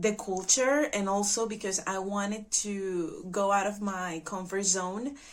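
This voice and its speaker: Very slowly, a woman speaks with a Spanish accent at a medium pitch and with fairly even intonation. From Venezuela. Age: 20s. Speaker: au pair. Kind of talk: testimony.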